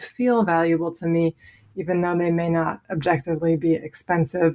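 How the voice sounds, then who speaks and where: The intonation is fairly even and the tempo moderate. It is an ordinary speaking voice. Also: woman. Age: 30s. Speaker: stay-at-home mother. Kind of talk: voicemail question.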